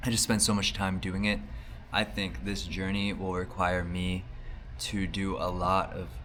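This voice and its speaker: Audible room echo around a man's voice with ordinary pitch variation. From United States. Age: 30s. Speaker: vlogger, artist. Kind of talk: video diary. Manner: casual, hesitant with fillers.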